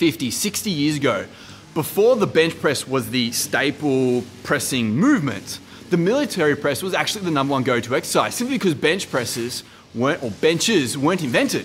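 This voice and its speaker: The speech moves at a fairly quick pace. Light background noise can be heard. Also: man. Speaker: fitness coach. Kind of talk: casual advice vlog. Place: gym. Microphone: phone near.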